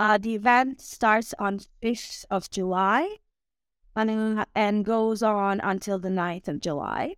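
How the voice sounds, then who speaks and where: With a Croatian accent, a woman speaks at a very slow pace. Her pitch is fairly high. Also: fairly even intonation. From Croatia, Osijek. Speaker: communications head of a hiking events company. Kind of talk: casual interview. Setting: remote call.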